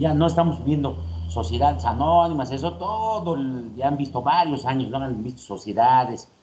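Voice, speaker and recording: A man of medium pitch is heard against noticeable background noise. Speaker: university lecturer. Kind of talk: lecture. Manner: fast.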